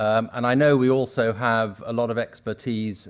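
With a quiet background, this man keeps a moderate pace and fairly even intonation. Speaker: panel moderator. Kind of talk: moderator introduction. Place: hall. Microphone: podium.

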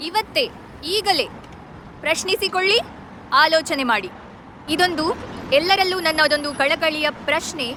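A woman speaks in a raised, projected voice with an extremely high pitch, very even loudness and ordinary pitch variation. There is noticeable background noise. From India. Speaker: video blogger. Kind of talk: direct-to-camera address.

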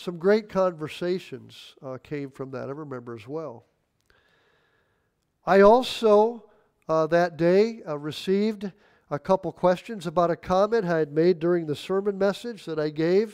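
A man with a high voice speaks at a moderate pace, his pitch varying in an ordinary way. His loudness swings widely against a quiet background. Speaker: pastor. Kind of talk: sermon. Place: home room.

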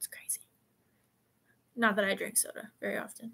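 At a moderate pace, a woman speaks at medium pitch with vocal fry, a fairly bright tone and little pitch movement.

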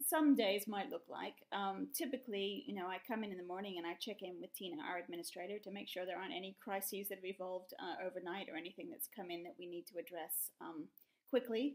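The speaker races along at a very fast pace with hardly any pauses. Intonation is lively, and the background is quiet. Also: woman. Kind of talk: interview answer. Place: home room. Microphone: webcam.

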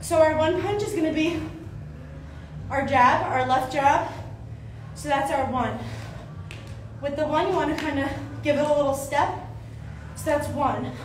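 With audible room echo and light background noise, a woman speaks in a high voice at a fairly slow pace with fairly even intonation. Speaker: boxing instructor. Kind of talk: tutorial. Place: gym. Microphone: camera far.

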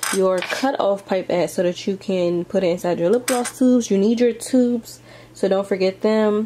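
A woman speaks at a moderate pace with fairly even intonation over light background noise. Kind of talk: tutorial.

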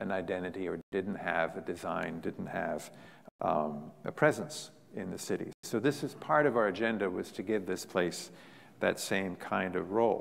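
His pitch is very deep and low. The man keeps a moderate pace. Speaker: guest lecturer. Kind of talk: lecture. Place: hall. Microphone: podium.

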